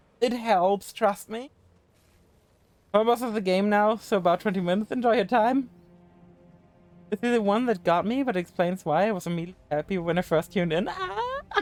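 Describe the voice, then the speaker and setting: With a German accent and music in the background, a man speaks at a fairly quick pace in a high pitch, with ordinary pitch variation and long, frequent pauses. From Germany. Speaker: video game streamer. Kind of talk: live gaming stream chat. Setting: live stream. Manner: fast; casual.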